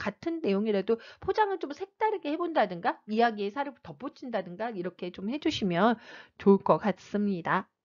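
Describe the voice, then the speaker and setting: Her voice moves in very wide pitch swings with an animated tone. The woman's sound is dry and close, with no echo. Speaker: reading coach. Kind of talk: online lecture. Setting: online video. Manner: fast; animated, varied emphasis.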